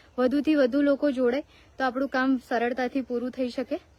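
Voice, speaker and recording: Heard in a dry, close sound with no echo, a woman speaks in a high-pitched, flat monotone. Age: 20s. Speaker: cow shelter founder and social media creator. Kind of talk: live video appeal for donations.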